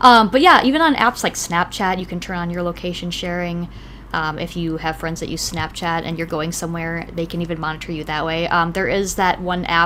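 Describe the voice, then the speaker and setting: With a Wisconsin accent, a woman talks at a fairly quick pace. Her pitch is fairly low. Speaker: podcast co-host. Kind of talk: casual chat. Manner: hesitant, many fillers.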